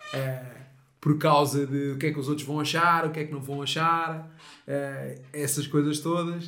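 Speaking with a European Portuguese accent, a man uses a fairly high pitch and a bright, sharp tone, moving at a fairly slow pace with monotone, flat intonation while room echo is audible. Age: 30s. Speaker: mental coach. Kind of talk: casual chat.

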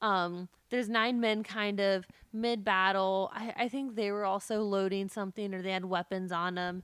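The recording is very clean, with a silent background. A woman with a plain, everyday voice speaks at a fairly slow pace in a medium pitch with fairly even intonation. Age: 20s. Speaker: podcast co-host. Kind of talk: casual chat.

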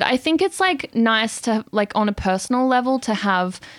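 A woman talks in a normal speaking voice at a moderate pace with ordinary pitch variation. The recording is very clean, with a silent background. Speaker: singer-songwriter. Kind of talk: casual interview chat. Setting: studio.

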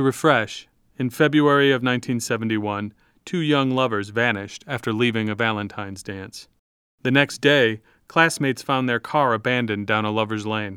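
Using an unremarkable speaking voice, a man talks at a moderate pace and medium pitch with ordinary pitch variation. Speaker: podcast narrator. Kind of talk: scripted narration.

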